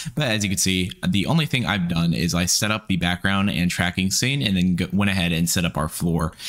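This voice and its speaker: A man speaks at a fairly quick pace in a very deep, low voice with ordinary pitch variation. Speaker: VFX tutorial creator. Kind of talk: tutorial.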